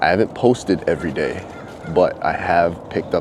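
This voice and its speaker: A man with a very deep, low pitch and ordinary pitch variation, amid noticeable background noise. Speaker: vlogger. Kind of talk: casual vlog monologue. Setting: outdoors walking dogs. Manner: soft-spoken.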